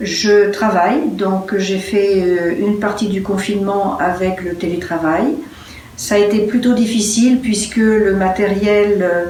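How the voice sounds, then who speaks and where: Speaking very slowly, a woman keeps a medium pitch and fairly even intonation. Audible room echo and noticeable background noise are present. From France. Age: 70s. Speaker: interviewee. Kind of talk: personal testimony. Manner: hesitant, many fillers.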